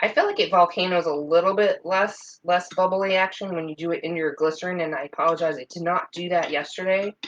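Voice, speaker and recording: At a fairly quick pace, a woman speaks with a fairly low pitch and fairly even intonation. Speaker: soap making YouTuber. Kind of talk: tutorial. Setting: home kitchen.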